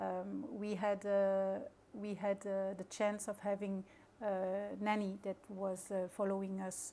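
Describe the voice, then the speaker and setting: Very slowly and in a monotone, flat intonation, a woman with a French accent speaks at a medium pitch in a dark, mellow tone. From Luxembourg, grew up near the border. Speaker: maritime company crew officer. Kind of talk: interview. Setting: hotel event venue. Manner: halting, many fillers.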